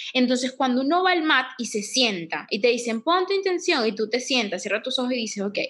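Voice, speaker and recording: Fairly quick speech in a Venezuelan accent, with hardly any pauses and very wide pitch swings. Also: woman, high pitch for a woman. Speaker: yoga teacher and podcast co-host. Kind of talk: casual chat. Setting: home living room.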